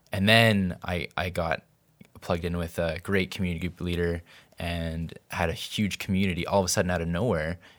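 With a Canadian accent, a man speaks at a fairly quick pace in a very deep, low pitch and a monotone, flat intonation on a very clean recording with a silent background. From Vancouver, Canada. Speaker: podcast producer. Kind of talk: casual chat.

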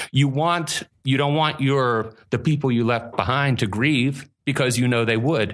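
In an American accent, a man speaks at a medium pitch and a moderate pace. His intonation is lively. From Pittsburgh area, US. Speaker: paranormal stage performer. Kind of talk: interview conversation.

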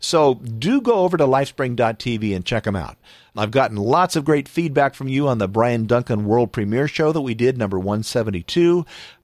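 On a very clean recording with a silent background, a man with a plain, everyday voice speaks at a medium pitch and a moderate pace, his intonation lively. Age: 50s. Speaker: podcast host. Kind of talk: casual interview and show hosting. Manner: upbeat, laughing.

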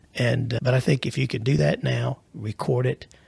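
The man's voice has vocal fry and a dry, close sound with no echo. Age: 50s. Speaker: financial planner. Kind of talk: casual chat.

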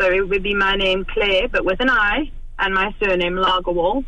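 Moderate pace and ordinary pitch variation from a woman, with noticeable background noise and audible room echo. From South Africa. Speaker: author. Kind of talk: radio interview.

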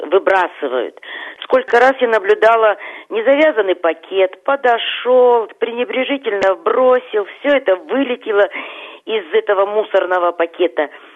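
Her intonation lively, a woman with an ordinary speaking voice and fairly high pitch talks at a moderate pace. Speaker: caller. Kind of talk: casual chat. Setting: phone call.

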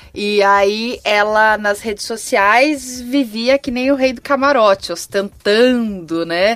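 Speaking at a very slow pace, a woman leaves hardly any pauses. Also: fairly high pitch for a woman, ordinary pitch variation, very clean recording, silent background. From São Paulo city, Brazil. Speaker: communications and fashion professional. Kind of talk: casual chat.

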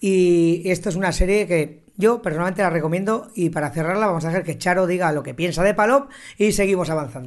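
Hardly pausing at all, a man talks in a high pitch with ordinary pitch variation. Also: fairly quick pace. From Spain, Zaragoza (Aragon). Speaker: podcast host. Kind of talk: casual chat. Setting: bar.

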